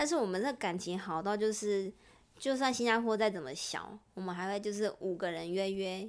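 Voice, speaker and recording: Medium pitch and ordinary pitch variation from a woman, moving at a moderate pace. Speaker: former intern abroad. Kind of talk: casual chat.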